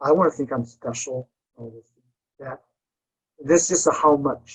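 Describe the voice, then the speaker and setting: A somewhat breathy voice at a moderate pace, with ordinary pitch variation, big swings in loudness, and a dry, close sound with no echo. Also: man, fairly high pitch for a man. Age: 60s. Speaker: seminar presenter, psychotherapist. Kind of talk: interactive lecture, seminar discussion. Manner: halting, with many fillers and restarts.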